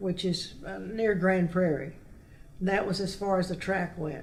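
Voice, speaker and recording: A woman of medium pitch speaks in a monotone, flat intonation. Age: 80s+. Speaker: local author and historian. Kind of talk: interview answer, oral history storytelling.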